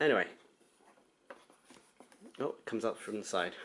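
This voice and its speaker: A man talks in a British accent. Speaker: gamer. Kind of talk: casual unboxing talk to camera.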